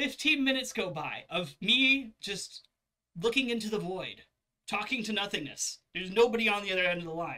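An animated man talks at a moderate pace. The background is quiet. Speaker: video creator, customer complaining. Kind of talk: angry rant. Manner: indignant, sarcastic, animated. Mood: annoyed, ranting. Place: home room.

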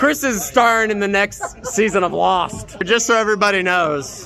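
Over light background noise, a man uses a raised, projected voice with lively intonation at a moderate pace. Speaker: band member vlogger. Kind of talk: casual vlog chat. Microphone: phone near.

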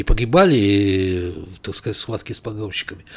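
A man talks at a fairly quick pace. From Azerbaijan, Baku; Azerbaijan. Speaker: writer and journalist; journalist guest. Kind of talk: studio interview. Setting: studio. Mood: serious historical account. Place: studio. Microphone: studio mic.

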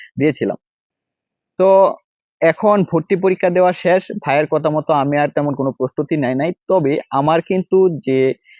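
An unremarkable speaking voice, this man talks at a fairly high pitch with ordinary pitch variation. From Bangladesh, Mymensingh. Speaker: university student and educational YouTuber. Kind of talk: personal story told to camera. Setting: outdoors in a campus nursery.

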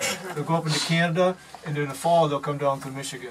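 Noticeable background noise sits behind a man speaking with fairly even intonation. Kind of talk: informal demonstration explanation. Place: workshop. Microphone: phone near.

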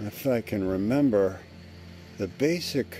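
A man's fairly low-pitched voice, dry with no echo, over music in the background. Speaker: video journal storyteller. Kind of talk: casual vlog chat. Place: garden. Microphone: phone near.

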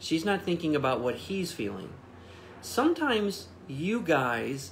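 Somewhat breathy, the voice moves at a fairly slow pace with very wide pitch swings over light background noise. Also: man. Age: 40s. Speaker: pastor. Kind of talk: livestreamed Bible devotional. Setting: Facebook Live stream, off site. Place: home room.

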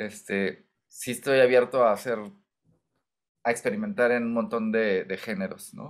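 Medium-pitched man's voice in a Mexican accent, ordinary pitch variation, fairly slow pace, long and frequent pauses, quiet background. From Mexico, Michoacán. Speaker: singer-songwriter; interviewee. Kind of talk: interview. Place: home room.

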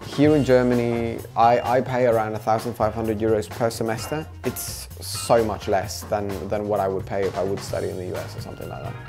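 Over clear music in the background, a man speaks at a fairly quick pace with hardly any pauses. His fairly low voice shows ordinary pitch variation and big swings in loudness. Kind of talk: interview answer. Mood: relaxed, warm. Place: kitchen. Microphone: lapel.

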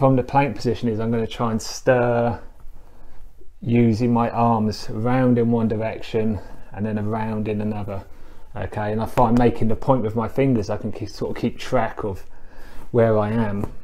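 A man talks at a moderate pace in a dark, mellow tone. His intonation stays monotone and flat. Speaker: fitness instructor. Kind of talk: tutorial. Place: home room. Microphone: camera far.

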